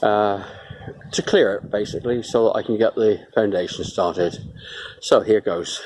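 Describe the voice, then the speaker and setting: Speaking with a British accent at a moderate pace, a man leaves long, frequent pauses over noticeable background noise. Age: 70s. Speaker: retired builder doing a DIY home extension. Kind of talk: casual video diary. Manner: hesitant, many fillers.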